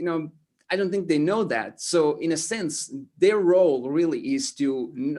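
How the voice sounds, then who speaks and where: Against a quiet background, a man with an Estonian accent and a high pitch talks at a fairly slow pace. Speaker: motivational speaker. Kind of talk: interview. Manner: halting, many repetitions and fillers.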